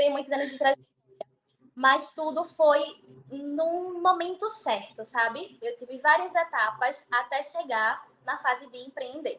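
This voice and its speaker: A woman with a high, bright, sharp voice projects it loudly, speaking fairly slowly with lively intonation and big swings in loudness. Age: 20s. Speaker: beautician and entrepreneur. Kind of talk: podcast interview.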